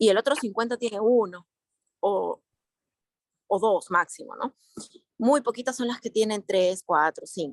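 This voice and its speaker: Speaking at a fairly slow pace with long, frequent pauses, a woman with a fairly high pitch shows ordinary pitch variation. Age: 40s. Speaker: participant in a religious study group. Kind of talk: group discussion. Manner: halting.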